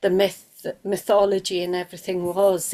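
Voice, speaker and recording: A woman with a South Welsh accent talks at a moderate pace and medium pitch. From South Wales. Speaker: workshop participant. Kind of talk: casual chat. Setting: video call. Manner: halting.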